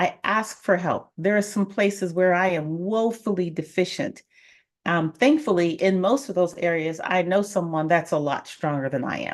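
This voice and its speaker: A woman with an American accent and an unremarkable speaking voice, at medium pitch and moderate pace, with lively intonation. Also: quiet background. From Colorado. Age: 50s. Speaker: financial coach and realtor. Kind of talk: live stream talk. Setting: live stream.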